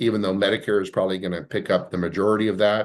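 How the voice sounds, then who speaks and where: Over a quiet background, a man with a fairly low voice speaks at a very fast pace. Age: 60s. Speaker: insurance advisor on long-term care. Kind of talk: webinar presentation. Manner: frequent fillers and hesitations.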